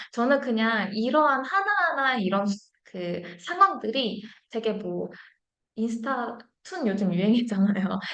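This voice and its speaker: A woman's fairly high voice, very slow in pace, with lively intonation. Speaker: marketing data presenter. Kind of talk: live webinar presentation. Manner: hesitant, many fillers.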